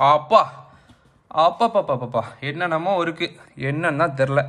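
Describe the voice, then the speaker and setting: A man's high-pitched voice with a bright, sharp tone. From Tamil Nadu, India. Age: 30s. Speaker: gamer and tech YouTuber. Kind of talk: casual unboxing talk to camera. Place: home room. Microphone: phone near.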